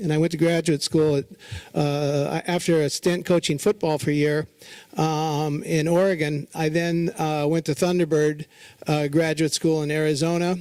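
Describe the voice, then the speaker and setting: Keeping his loudness very even, a man with a fairly high pitch speaks at a moderate pace in a monotone, flat intonation. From Southern California. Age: 60s. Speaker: fashion retailer. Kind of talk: lecture. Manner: casual, halting.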